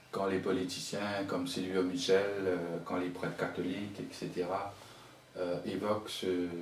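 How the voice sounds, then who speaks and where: With a Mauritian accent and very deep, low pitch, a man speaks at a moderate pace amid audible room echo and noticeable background noise. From Mauritius. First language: Mauritian Creole (speaking French). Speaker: writer and poet. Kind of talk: interview. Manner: halting, with many repetitions.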